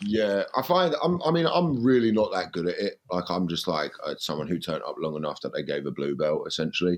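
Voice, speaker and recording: A man talks at a fairly quick pace with hardly any pauses, against a quiet background. His pitch is fairly low, but it swings very widely. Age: 20s. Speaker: comedian. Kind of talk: casual chat.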